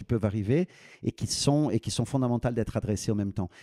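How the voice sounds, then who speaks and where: A man of medium pitch with a Brazilian accent and a dark, mellow tone talks at a very fast pace, captured in a very clean recording with a silent background and a dry, close sound with no echo. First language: Portuguese (speaking French). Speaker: business school dean. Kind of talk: podcast interview. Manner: halting, many repetitions and fillers.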